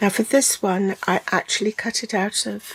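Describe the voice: A woman at a medium pitch speaks at a moderate pace with fairly even intonation, vocal fry and a slightly husky edge.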